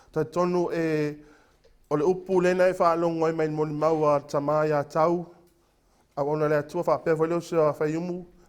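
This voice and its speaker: Loud and fairly high-pitched, a man speaks at a fairly quick pace with monotone, flat intonation. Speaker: preacher. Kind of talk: sermon. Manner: halting.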